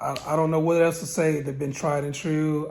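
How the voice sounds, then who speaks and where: Here a man speaks fairly quickly at a fairly high pitch. His intonation stays fairly even, and audible room echo surrounds the voice. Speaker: car tuner and channel host. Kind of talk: casual tutorial. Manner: hesitant with fillers.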